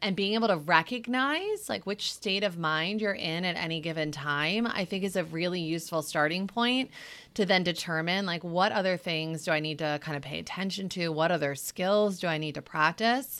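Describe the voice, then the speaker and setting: Speaking at a moderate pace with hardly any pauses, a woman has an unremarkable speaking voice, captured on a very clean recording with a silent background. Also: fairly low pitch for a woman, ordinary pitch variation. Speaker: clinical psychologist. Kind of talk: interview conversation.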